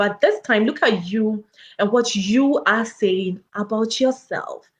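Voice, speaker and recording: A woman speaks with an African accent and ordinary pitch variation. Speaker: educator and public health researcher, wellness coach. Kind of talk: motivational talk. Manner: animated.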